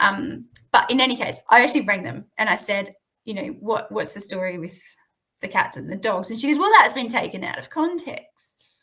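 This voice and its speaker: A woman with an Australian accent, bright and sharp in tone, fairly high-pitched, with lively intonation, big swings in loudness and a fairly quick pace. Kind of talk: interview answer.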